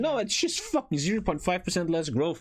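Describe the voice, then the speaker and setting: Over noticeable background noise, a man talks very fast in an animated tone with very wide pitch swings. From Germany. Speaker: streamer. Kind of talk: casual reaction commentary. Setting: live stream.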